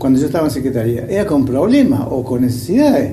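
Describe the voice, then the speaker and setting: A man speaks at medium pitch and a moderate pace, with ordinary pitch variation. Audible room echo and noticeable background noise fill the recording. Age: 70s. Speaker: retired bank employee. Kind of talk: interview testimony. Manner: halting, many fillers and repetitions.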